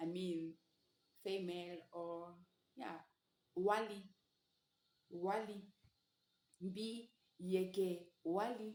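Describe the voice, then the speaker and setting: Speaking at a medium pitch, a woman goes very slowly with long, frequent pauses. Her intonation stays fairly even. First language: Sango. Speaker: language teacher. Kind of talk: tutorial.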